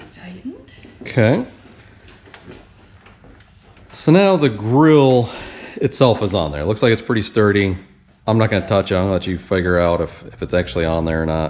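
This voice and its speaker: Lively intonation marks this man's unremarkable speaking voice, which has a fairly low pitch and a fairly quick pace. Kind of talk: casual commentary. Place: garage.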